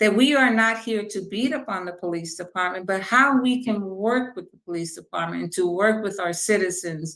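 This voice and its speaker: The speaker is a woman with a fairly high voice. She talks at a moderate pace with ordinary pitch variation. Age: 60s. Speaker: police oversight commissioner. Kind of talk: interview.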